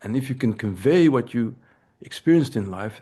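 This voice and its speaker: Over a quiet background, a man with a European accent talks at a very fast pace in a dark, mellow tone of medium pitch. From Belgium. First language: Dutch. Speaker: anthropology professor. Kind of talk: lecture. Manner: halting, with frequent repetitions.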